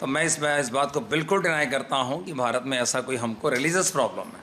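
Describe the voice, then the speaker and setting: A man with a fairly high voice talks while noticeable background noise carries on. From India, Lucknow, Uttar Pradesh. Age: 60s. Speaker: Sikh community leader. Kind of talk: media interview statement.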